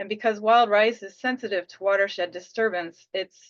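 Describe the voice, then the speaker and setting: Against a quiet background, a woman speaks at a moderate pace with ordinary pitch variation in an unremarkable speaking voice. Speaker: conservation program presenter. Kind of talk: webinar presentation.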